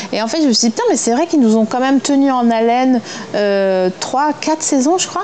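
A high-pitched woman at a very fast pace with lively intonation, over noticeable background noise. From eastern France. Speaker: actress. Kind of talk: interview. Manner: casual, hesitant with fillers.

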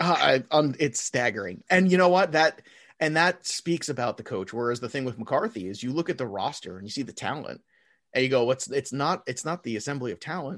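A man with an unremarkable speaking voice talks at a fairly quick pace over a quiet background. His pitch is medium and his intonation lively. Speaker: NFL podcast guest. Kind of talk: casual chat about football.

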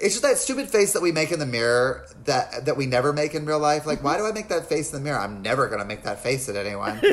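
Over noticeable background noise, a man with an American accent and a fairly high voice talks very fast with hardly any pauses, his pitch swinging very widely. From US South, North Carolina (Lincolnton). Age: 40s. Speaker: comedian and actor. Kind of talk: casual chat.

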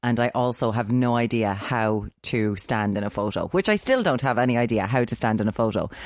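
A woman speaks with an Irish accent. Her pitch is very deep and low, and the recording is very clean with a silent background. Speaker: podcast co-host. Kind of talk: casual chat.

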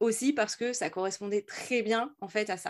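On a very clean recording against a silent background, a woman talks at a fairly slow pace. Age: 40s. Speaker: entrepreneur and LinkedIn coach. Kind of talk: interview. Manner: halting.

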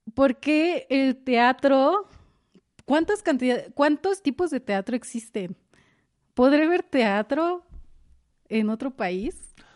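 A high-pitched woman speaks at a very slow pace with very wide pitch swings and long, frequent pauses. The sound is dry and close with no echo over a quiet background. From Mexico, Morelos (Jiutepec). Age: 20s. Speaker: stage actress. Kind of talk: casual interview chat.

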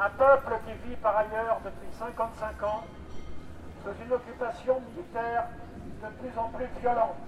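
Over noticeable background noise, the speech goes at a very slow pace with fairly even intonation and long, frequent pauses. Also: man, extremely high pitch for a man. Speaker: activist. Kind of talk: speech at rally. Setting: outdoors. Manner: formal.

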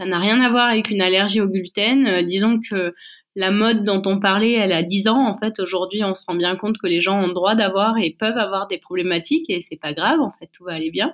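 A woman at a medium pitch, fairly quick in pace, with ordinary pitch variation. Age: 40s. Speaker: chef and business owner. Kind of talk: interview. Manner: halting.

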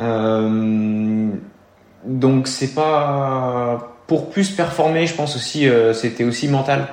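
A man's medium-pitched voice at a very slow pace, with ordinary pitch variation and audible room echo. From eastern France (Burgundy/Beaujolais). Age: 20s. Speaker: triathlete. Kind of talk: interview.

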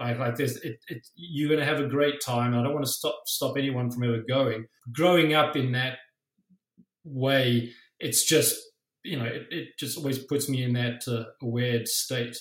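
This man speaks with a South African accent at a medium pitch and a moderate pace. His voice is somewhat breathy and his intonation fairly even. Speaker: musician and tattoo artist. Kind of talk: casual interview.

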